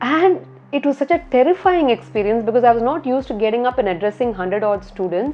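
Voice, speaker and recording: A woman with a Tamil Indian accent, a high pitch and a very fast pace. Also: lively intonation. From India, Tamil-speaking. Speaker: architect. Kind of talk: interview. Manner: repeats words, hesitant fillers.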